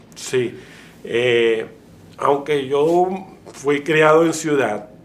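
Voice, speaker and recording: In a Venezuelan accent, a man with a fairly high pitch speaks at a very slow pace with ordinary pitch variation, amid audible room echo and noticeable background noise. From Venezuela, Maracay. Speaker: wildlife veterinarian, conservationist. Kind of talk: interview. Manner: halting, many repetitions.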